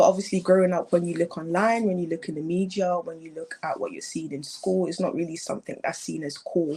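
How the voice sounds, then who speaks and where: A woman with a British accent talks at a very fast pace with hardly any pauses, her fairly low voice showing ordinary pitch variation and big swings in loudness. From England. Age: young. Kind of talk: interview answer.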